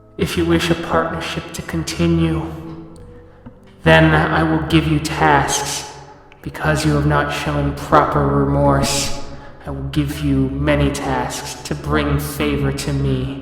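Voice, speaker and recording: A man's put-on character voice, very deep and low, at a fairly slow pace, with strong echo and faint background music. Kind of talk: formal, archaic phrasing. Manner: demanding, stern.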